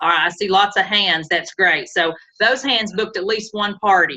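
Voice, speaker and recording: A woman in an American accent, fairly quick in pace, with ordinary pitch variation. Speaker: sales team leader / workshop presenter. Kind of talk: online training workshop.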